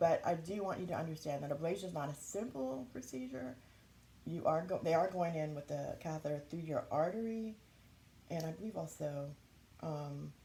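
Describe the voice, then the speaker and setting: A woman speaks at a moderate pace in a somewhat breathy voice. Her pitch is very deep and low, and her tone is dark and mellow. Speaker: YouTuber sharing health experience. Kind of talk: casual vlog talk. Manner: halting, with frequent fillers.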